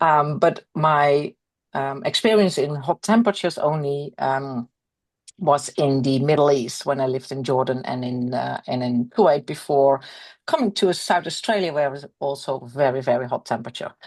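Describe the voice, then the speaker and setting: A woman with a Dutch accent and a very deep, low pitch, at a moderate pace with ordinary pitch variation over a quiet background. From Netherlands. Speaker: equine veterinary specialist. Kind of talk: webinar presentation.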